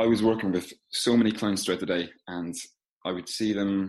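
A man with an Irish accent talks at a moderate pace in a fairly low pitch, his intonation fairly even against a quiet background. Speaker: physical therapist. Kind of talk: casual interview.

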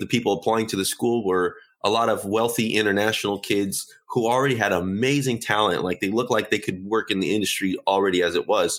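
A man talks with a normal speaking voice. His pitch sits in the medium range and varies in an ordinary way. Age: 30s. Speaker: software engineer and card game creator. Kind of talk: casual interview.

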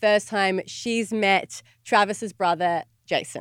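This very clean recording with a silent background features a woman with an Australian accent. Her voice sits at medium pitch with ordinary variation. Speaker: podcast co-host. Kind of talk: casual chat.

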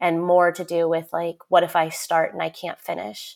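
The background is silent on this very clean recording. An ordinary speaking voice moves at a moderate pace. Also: woman. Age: 30s. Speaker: novelist. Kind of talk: interview.

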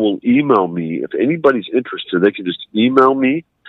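A man speaks at a moderate pace in a medium pitch, with an unremarkable speaking voice. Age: 40s. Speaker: interview guest. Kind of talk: interview. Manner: formal.

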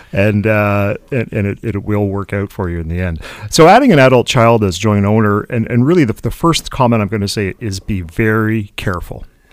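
With a Canadian accent and a normal speaking voice, a man talks fairly quickly in a fairly low pitch, with ordinary pitch variation and hardly any pauses. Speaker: financial advisor. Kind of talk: radio talk show. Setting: studio.

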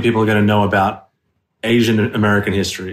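With an Australian accent, a man speaks at a fairly quick pace in a fairly low voice. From Australia, southwest Sydney. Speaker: actor. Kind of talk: casual interview chat.

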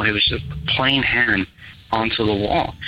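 A man with an American accent at a fairly low pitch, moderate pace and ordinary pitch variation, with noticeable background noise. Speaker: caller. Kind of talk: storytelling. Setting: phone call.

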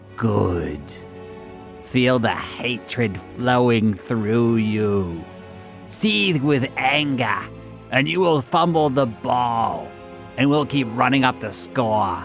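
With clear music in the background, a man at a medium pitch performs a put-on character voice at a very slow pace. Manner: sinister, menacing.

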